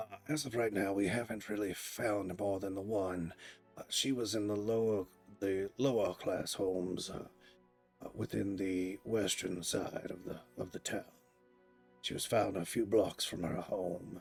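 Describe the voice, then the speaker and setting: Faint music plays in the background as a raspy, put-on character voice speaks at a moderate pace with fairly even intonation. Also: man, fairly low pitch for a man. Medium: actual play. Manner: polite, matter-of-fact.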